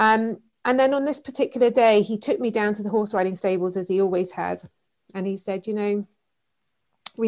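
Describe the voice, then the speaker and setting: Talking at a fairly quick pace, a woman speaks with an English accent. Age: 40s. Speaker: author and keynote speaker. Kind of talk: interview.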